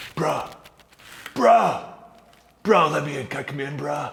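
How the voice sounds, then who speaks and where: Drawling at a fairly slow pace, the speaker uses a put-on character voice. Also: man, fairly high pitch for a man. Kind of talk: comic overacting. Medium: comedy sketch. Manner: drawling, laid-back surfer slang.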